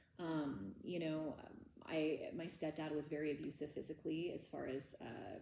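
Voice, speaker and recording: The tone is dark and mellow, with audible room echo. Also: woman. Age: 30s. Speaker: trauma workshop teacher. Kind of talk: lecture. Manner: casual.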